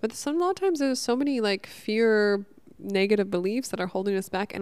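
A woman with an American accent uses a normal speaking voice, lively intonation and a moderate pace. The recording is very clean, with a silent background. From Northern California. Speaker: podcast host. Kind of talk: casual monologue. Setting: at home.

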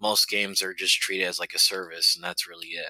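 A man talks at a moderate pace. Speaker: caller. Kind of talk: casual chat. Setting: voice chat call.

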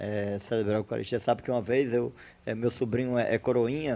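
Talking at a very fast pace, a man keeps his medium-pitched voice on fairly even intonation. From Brazil, Ceará (Fortaleza), teens in Mossoró. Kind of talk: casual interview.

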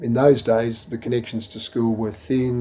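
A man with an Australian accent speaks at a medium pitch in a monotone, flat delivery. Noticeable background noise runs under his voice. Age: 60s. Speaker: former student and school board member. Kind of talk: interview. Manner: halting with many fillers.

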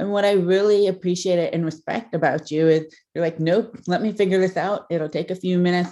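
A woman with an American accent speaks at a medium pitch with hardly any pauses. Her intonation stays fairly even. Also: fairly quick pace. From US Midwest, Ohio. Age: 30s. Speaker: pediatric audiologist. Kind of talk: casual interview.

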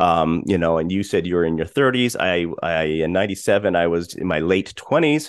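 A man speaks in an ordinary speaking voice with an American accent. His pitch varies in an ordinary way, and his pace is fairly quick. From Colorado, US. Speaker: podcast host. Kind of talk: casual chat.

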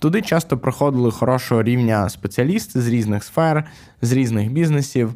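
His dark, mellow tone stays at very even loudness as the man speaks at a moderate pace. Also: medium pitch for a man, ordinary pitch variation. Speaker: podcast co-host, tech entrepreneur. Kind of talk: casual chat.

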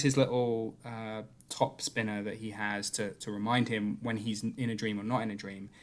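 On a very clean recording with a silent background, a man with a British accent speaks at a medium pitch and a moderate pace. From Britain. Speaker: film podcast co-host. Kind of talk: casual chat.

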